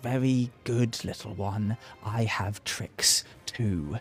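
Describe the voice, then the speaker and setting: Over music in the background, a man puts on a character voice at a medium pitch, speaking at a very slow pace. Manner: sly, taunting.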